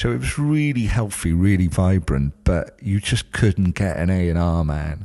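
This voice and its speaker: Against a quiet background, a man with a South Wales accent has a dark, mellow tone. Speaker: music journalist. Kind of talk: casual chat.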